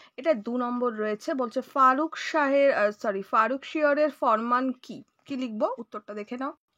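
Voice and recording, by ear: Her voice high and fairly bright, a woman speaks at a moderate pace with ordinary pitch variation.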